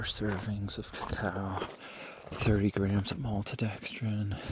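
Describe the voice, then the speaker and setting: In a relaxed tone, a man talks very slowly at a fairly low pitch amid noticeable background noise. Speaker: hiker vlogger. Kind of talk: casual vlog narration while hiking. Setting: outdoors on a mountain trail at night. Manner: relaxed, hesitant with fillers; soft-spoken, quiet near campers.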